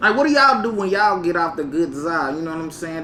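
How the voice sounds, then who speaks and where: Noticeable background noise accompanies a man speaking at a high pitch with ordinary pitch variation. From US South, Mississippi (Vicksburg). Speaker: podcast host and cannabis reviewer. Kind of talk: casual chat.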